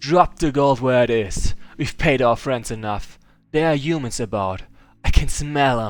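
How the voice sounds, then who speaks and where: In a put-on character voice, the speaker talks loud and booming at a moderate pace. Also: man, medium pitch for a man. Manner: booming, menacing.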